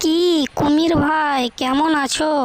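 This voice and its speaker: High-pitched cartoonish character voice with monotone, flat intonation. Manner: calm, smug.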